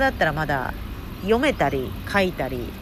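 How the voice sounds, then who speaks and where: A woman speaks at a moderate pace in a room with audible echo. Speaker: podcast host and intercultural communication coach. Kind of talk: casual podcast monologue. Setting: outdoors.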